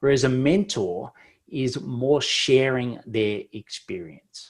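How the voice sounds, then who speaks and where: A man speaks with an Australian accent at a medium pitch. His intonation is lively, and the recording is very clean with a silent background. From Australia, Victoria bush. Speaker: business mentor. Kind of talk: podcast interview. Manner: talkative, many fillers.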